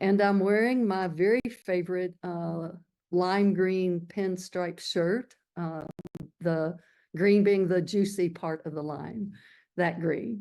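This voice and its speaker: With a Kentucky accent, a woman speaks very slowly in a dark, mellow tone at medium pitch, her intonation fairly even over a quiet background. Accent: Kentucky Southern. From rural Kentucky. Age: 70s. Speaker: activist. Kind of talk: public talk.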